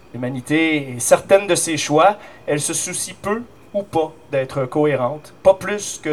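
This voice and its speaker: A man is speaking. His intonation is lively. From Eastern Quebec. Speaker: slam poet. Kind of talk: slam poetry performance.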